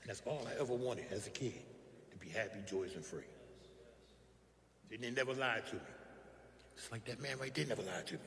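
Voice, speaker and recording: Noticeable background noise sits under a man speaking at a very fast pace, broken by long, frequent pauses. His voice is at medium pitch with ordinary pitch variation. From West Philadelphia. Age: 60s. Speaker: recovery speaker. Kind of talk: testimony.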